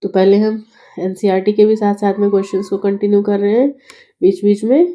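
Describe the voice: A woman at a medium pitch with a dark, mellow tone, fairly even intonation and a fairly quick pace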